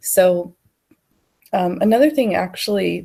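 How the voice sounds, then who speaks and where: Her tone is dark and mellow, at a medium pitch. This woman speaks at a fairly slow pace. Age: 30s. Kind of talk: casual talk to camera.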